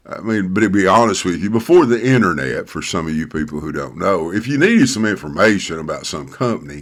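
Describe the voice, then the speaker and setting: A man with a Southern US accent, fairly low pitch, lively intonation and a very fast pace with hardly any pauses. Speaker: pastor. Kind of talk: casual talk to camera. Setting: home study. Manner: halting, many fillers.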